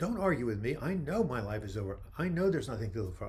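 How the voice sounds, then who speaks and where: A man with an American accent, somewhat breathy and medium in pitch, with very wide pitch swings at a moderate pace, in audible room echo. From New York. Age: 70s. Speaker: mental health author and livestream host. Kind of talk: live video chat answering viewer questions. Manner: animated.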